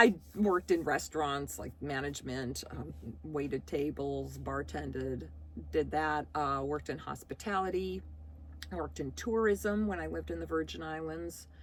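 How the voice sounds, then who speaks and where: Loudness swings a lot while the speech keeps a moderate pace. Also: woman. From US Midwest, Chicago. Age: 60s. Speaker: vlogger. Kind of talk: casual Q&A vlog.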